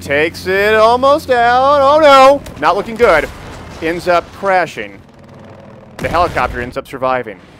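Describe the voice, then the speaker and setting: A man's high-pitched voice at a fairly slow pace, with very wide pitch swings and big swings in loudness, over noticeable background noise. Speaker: esports caster and channel owner. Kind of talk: casual gaming commentary.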